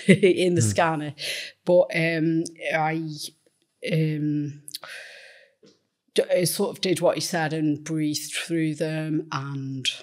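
Against a quiet background, a woman talks at fairly low pitch with long, frequent pauses. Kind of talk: personal conversation in therapy. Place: studio. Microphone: studio mic.

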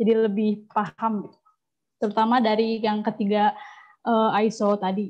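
A woman's fairly high voice at a moderate pace, monotone and flat, over a quiet background. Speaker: student moderator. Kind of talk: webinar moderation.

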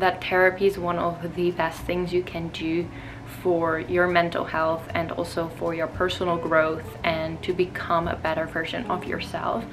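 Fairly slow speech against noticeable background noise. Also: woman. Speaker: vlogger. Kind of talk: casual vlog chat.

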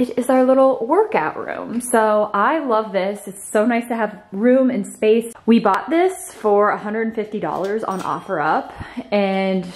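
Very slow, lively-intoned speech from a woman. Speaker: home vlogger. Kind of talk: casual vlog chat. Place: home room. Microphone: phone near.

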